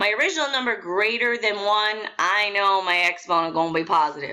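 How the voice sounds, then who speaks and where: A woman's voice has a bright, sharp tone. She speaks at a moderate pace. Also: very clean recording, silent background. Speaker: math teacher. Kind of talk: tutorial.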